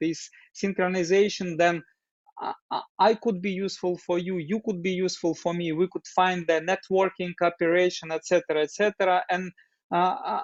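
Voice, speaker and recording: In a Russian accent, a man talks at a moderate pace, his high-pitched voice monotone and flat. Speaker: doctor and open dialogue group facilitator. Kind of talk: interview. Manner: halting, many fillers.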